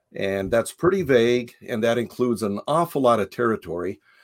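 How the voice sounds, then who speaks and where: A man with an American accent and a normal speaking voice talks at a fairly quick pace and medium pitch, in a very clean recording with a silent background and a dry, close sound with no echo. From Japan (raised by American missionary parents). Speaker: philosophy professor and author. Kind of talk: interview. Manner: frequent filler words, measured pace.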